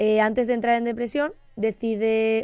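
A woman's fairly high-pitched voice with music in the background. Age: 20s. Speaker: student radio host. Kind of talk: radio show chat. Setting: studio.

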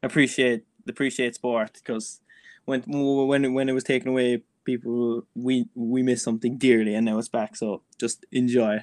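In a Cork accent, a man talks at a moderate pace and medium pitch in a flat monotone, the sound dry and close with no echo against a quiet background. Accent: Irish (Cork). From Ireland (Cork). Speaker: neuroscientist, Gaelic footballer and podcast co-host. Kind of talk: casual chat.

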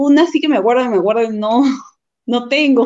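With ordinary pitch variation, a woman's voice stays high in pitch. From Peru, Huacho (born Chiclayo). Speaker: clothing store entrepreneur. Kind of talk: casual interview. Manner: laughs often.

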